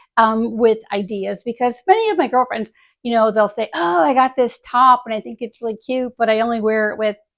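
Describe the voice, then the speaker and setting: This is a woman with an unremarkable speaking voice. Her pitch is fairly high. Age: 60s. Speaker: retired dermatologist and style blogger. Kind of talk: casual vlog tutorial. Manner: chatty with many fillers.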